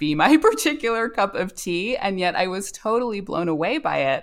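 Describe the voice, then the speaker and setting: A woman's ordinary speaking voice at a moderate pace, in an American accent. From US South, North Carolina. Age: 40s. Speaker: novelist. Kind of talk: interview. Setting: remote call.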